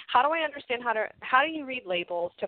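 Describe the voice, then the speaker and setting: A woman with an American accent speaks at a fairly quick pace with very wide pitch swings. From US. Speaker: health coach. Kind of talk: interview.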